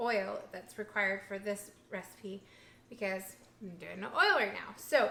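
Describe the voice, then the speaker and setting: Noticeable background noise sits behind a woman's voice. She speaks slowly-ish at a fairly high pitch, with fairly even intonation. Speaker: vegan food vlogger. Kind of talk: casual cooking vlog. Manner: mumbling; halting.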